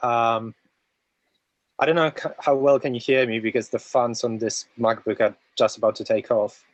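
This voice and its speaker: The speaker has a Polish accent. The pace is fairly slow. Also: man. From Poland. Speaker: community member. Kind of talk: casual chat.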